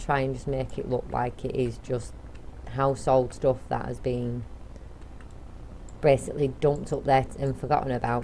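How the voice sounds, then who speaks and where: Mumbling at a moderate pace, a woman speaks with a very deep, low pitch. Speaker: gaming YouTuber. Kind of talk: let's play commentary. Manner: casual, rambling with repetitions.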